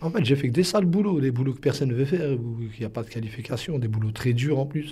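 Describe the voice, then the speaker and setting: At a fairly quick pace, a man talks in a medium-pitched, dark, mellow voice that is somewhat breathy, with ordinary pitch variation. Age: 30s. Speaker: defendant in court. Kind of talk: interview.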